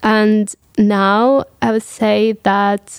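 A woman with a Russian accent, fairly high in pitch, in a monotone, flat intonation. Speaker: business student. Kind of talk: panel discussion.

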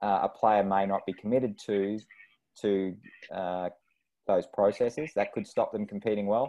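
A fairly low-pitched man with an Australian accent, at a moderate pace, with fairly even intonation and long, frequent pauses. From rural Australia. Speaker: sports psychologist and former tennis player. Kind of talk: casual interview chat. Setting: video call.

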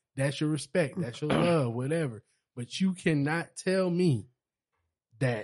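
Over a quiet background, a man with an ordinary speaking voice talks at a moderate pace in a fairly high pitch, with ordinary pitch variation. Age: 30s. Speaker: podcast co-host. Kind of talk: casual chat.

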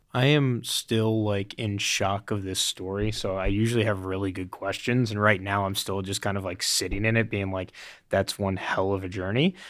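An ordinary speaking voice from a man, fairly low in pitch, at a moderate pace with fairly even intonation and hardly any pauses. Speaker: podcast host. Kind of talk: casual chat.

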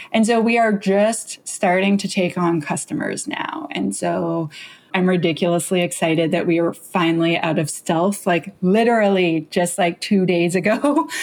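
Over noticeable background noise, a woman talks at a moderate pace with a medium pitch, ordinary pitch variation and hardly any pauses. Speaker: security author and founder. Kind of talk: casual interview chat.

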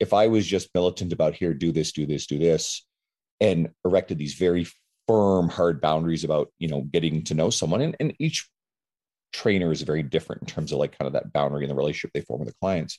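A man's very deep, low voice at a very fast pace, with a dark, mellow tone, vocal fry and ordinary pitch variation, in a dry, close sound with no echo. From Newfoundland, Canada. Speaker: personal trainer. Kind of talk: podcast interview.

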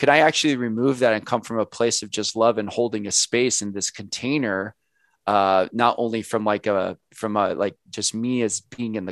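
A man's medium-pitched delivery at a moderate pace, an ordinary speaking voice. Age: 30s. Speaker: author. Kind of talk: interview.

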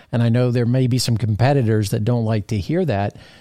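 A man talks at a fairly quick pace at a medium pitch, in a plain, everyday voice with a dry, close sound with no echo. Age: 50s. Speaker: podcast host, aviation association director. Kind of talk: casual interview.

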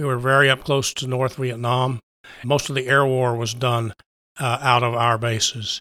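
With an American accent, a man speaks at a moderate pace in a medium pitch, his tone bright and sharp, his intonation fairly even, on a very clean recording with a silent background. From West Texas, US. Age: 70s. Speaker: LEMS patient, former radio worker. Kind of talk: interview, personal story.

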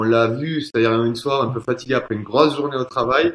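Talking at a fairly quick pace, this man keeps his pitch variation ordinary. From Toulouse, southern France. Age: 30s. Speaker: fruit and vegetable buyer. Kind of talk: casual interview.

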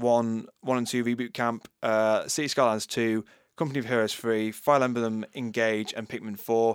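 Someone with a Yorkshire accent talks at a moderate pace in a very clean recording with a silent background. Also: man. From Yorkshire, England. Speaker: co-host. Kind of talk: casual chat. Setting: studio.

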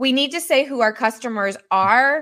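A woman with a Midwestern American accent speaks in a fairly high pitch with a bright, sharp tone on a very clean recording with a silent background. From US Midwest, Missouri. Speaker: marketing agency founder. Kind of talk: interview on a live stream.

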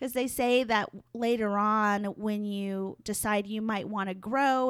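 A woman has a plain, everyday voice at a medium pitch with fairly even intonation. The recording is very clean, with a silent background. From Hopi and Navajo, northern Arizona. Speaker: public relations business owner. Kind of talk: interview.

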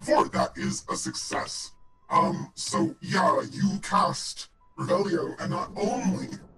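A put-on, robotic character voice talks at a fairly slow pace. It stays mechanical throughout.

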